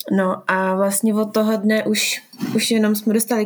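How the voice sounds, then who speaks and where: Her pitch is medium for a woman. The intonation stays monotone and flat. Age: 20s. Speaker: sports therapist. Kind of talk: interview.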